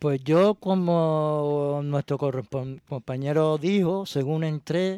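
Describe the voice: At a slow pace, a man with fairly high pitch and ordinary pitch variation has a clear, smooth yet dark, mellow tone in a dry, close sound with no echo.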